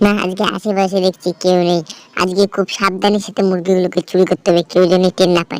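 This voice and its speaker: A cartoonish character voice, female-sounding, at a middle pitch. It moves at a fairly quick pace with monotone, flat intonation. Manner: sneaky, scheming.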